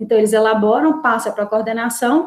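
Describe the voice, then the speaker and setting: Lively in intonation, a woman talks at a fairly quick pace. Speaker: course coordinator. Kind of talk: online meeting presentation.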